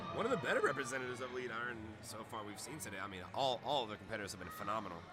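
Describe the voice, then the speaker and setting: A man's very fast, medium-pitched speech with ordinary pitch variation, audible room echo, and music in the background. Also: big swings in loudness. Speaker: powerlifting meet commentator. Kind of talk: live commentary. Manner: animated.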